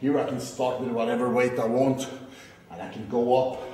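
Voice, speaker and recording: Light background noise and audible room echo accompany a man as he speaks. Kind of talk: casual explanation to camera. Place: gym. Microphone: phone near.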